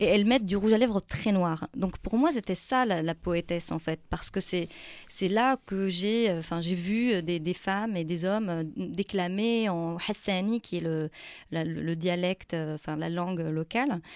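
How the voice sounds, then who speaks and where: Recorded very cleanly with a silent background, a woman with an unremarkable speaking voice talks fairly slowly at a medium pitch with ordinary pitch variation. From Morocco (Tan-Tan, south). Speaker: poet. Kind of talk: interview. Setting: studio.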